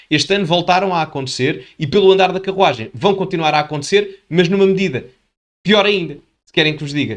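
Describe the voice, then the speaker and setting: Animated and very fast, a man speaks high in pitch with ordinary pitch variation and big swings in loudness. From Portugal. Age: 20s. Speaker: political commentator youtuber. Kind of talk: video commentary.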